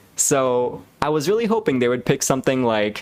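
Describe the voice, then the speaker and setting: Noise can be clearly heard in the background. Over it, a man talks at an average speed and a mid-range pitch. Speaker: public speaking coach. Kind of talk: tutorial presentation to camera.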